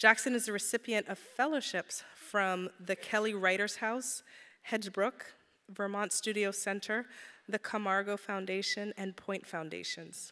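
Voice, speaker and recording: Her tone bright and sharp, a woman speaks at a moderate pace with fairly even intonation. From St. Croix. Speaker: event organizer. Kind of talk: formal introduction. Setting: stage with audience. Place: hall. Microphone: podium.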